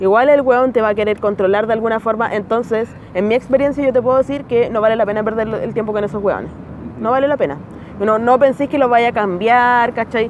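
A woman speaks at a fairly quick pace, her intonation fairly even, with noticeable background noise around her. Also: fairly high pitch for a woman. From Chile. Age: 20s. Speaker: comedian. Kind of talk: casual chat. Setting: outdoors.

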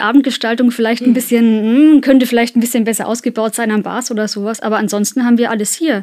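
A normal speaking voice belongs to a woman talking at a fairly quick pace with fairly even intonation. The recording is very clean, with a silent background. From Kulmbach, Upper Franconia, Germany. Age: 30s. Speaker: freelance copywriter. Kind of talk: casual interview chat. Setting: recording studio.

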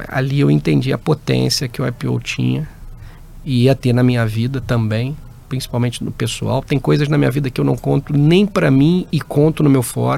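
A man at a medium pitch and moderate pace, with an unremarkable speaking voice. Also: lively intonation. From interior of Rio de Janeiro state (Barra Mansa). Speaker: business executive. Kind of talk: interview.

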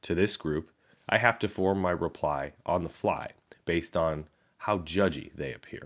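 A man with a Chicago accent, very deep and low, with ordinary pitch variation at a moderate pace, in a very clean recording with a silent background. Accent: Midwestern American (Chicago). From Chicago, US Midwest. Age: 30s. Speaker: podcast host. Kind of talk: reading aloud a personal essay.

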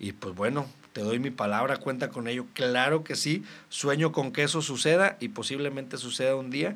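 Using ordinary pitch variation, a man talks at a medium pitch and a moderate pace. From Mexico, Reynosa, Tamaulipas. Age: 30s. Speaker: local politician. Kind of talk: casual interview.

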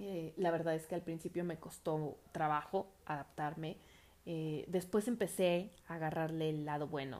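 A woman talks in a plain, everyday voice at a fairly low pitch. Her pace is fairly slow and her intonation fairly even. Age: 30s. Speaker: podcast host. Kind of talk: personal reflection monologue.

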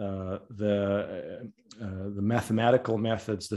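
Against a quiet background, a man talks in a fairly low voice with a dark, mellow tone. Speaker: podcast host. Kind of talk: interview conversation.

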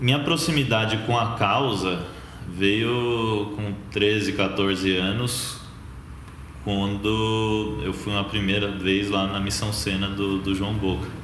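A man talks at a very slow pace and a fairly low pitch. Noticeable background noise and audible room echo surround his voice. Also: ordinary pitch variation. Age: 20s. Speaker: journalist, co-founder of a street-homeless storytelling project. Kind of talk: interview. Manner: casual, many fillers.

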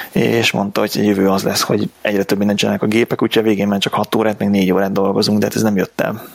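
Noticeable background noise sits behind a man talking very fast. His fairly low voice keeps a fairly even intonation. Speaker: IT professional, podcast co-host. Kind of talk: casual chat.

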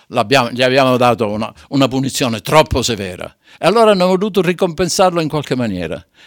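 Very wide pitch swings at a moderate pace. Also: man, very clean recording, silent background. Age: 80s+. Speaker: amateur theatre company president. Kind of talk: dramatic storytelling; radio interview. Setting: radio studio. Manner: halting.

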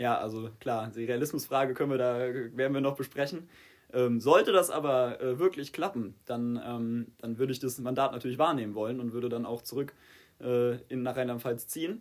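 A plain, everyday voice from a man at a medium pitch, with fairly even intonation and a moderate pace. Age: 20s. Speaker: political candidate. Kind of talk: casual interview.

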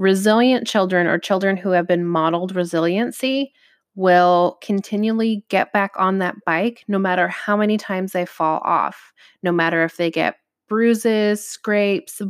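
On a very clean recording with a silent background and a dry, close sound with no echo, a woman speaks in a plain, everyday voice at medium pitch with fairly even intonation. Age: 30s. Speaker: podcast host and personal development coach. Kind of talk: solo podcast monologue.

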